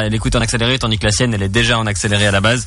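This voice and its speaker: A man talks at a very fast pace with a medium pitch. Noticeable background noise runs behind him. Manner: joking, teasing.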